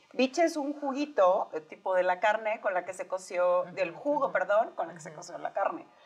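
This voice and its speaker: This woman's medium-pitched voice swings very widely in pitch and greatly in loudness, at a fairly quick pace with hardly any pauses. Noticeable background noise runs underneath. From Mexico, Sonora. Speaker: podcast co-host. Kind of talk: casual chat.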